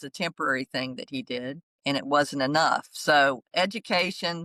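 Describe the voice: Moderate in pace, the voice has a bright, sharp tone and ordinary pitch variation, with a dry, close sound and no echo. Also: woman, low pitch for a woman.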